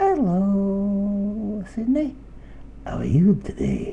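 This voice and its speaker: A man puts on a character voice and speaks at a very slow pace. Background noise is clearly heard. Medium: read story. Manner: chatty, sweet-talking.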